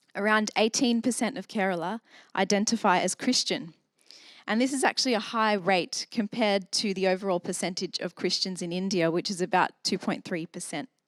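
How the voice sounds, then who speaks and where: A woman with an Australian accent, medium pitch, ordinary pitch variation and a fairly quick pace, on a very clean recording with a silent background and a dry, close sound free of echo. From Australia, south Sydney. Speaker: church member sharing testimony. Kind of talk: testimony.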